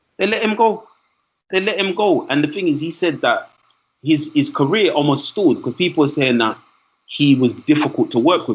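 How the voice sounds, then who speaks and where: A man speaks with a London accent at a fairly high pitch. His tone is animated and his intonation lively. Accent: London English, multicultural London. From East London, England. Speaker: trainer and speaker, podcast guest. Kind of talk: casual podcast conversation.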